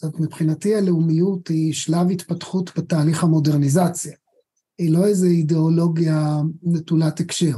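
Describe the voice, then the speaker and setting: A high-pitched man talks at a moderate pace with monotone, flat intonation. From Israel, Haifa. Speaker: history professor. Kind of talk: interview.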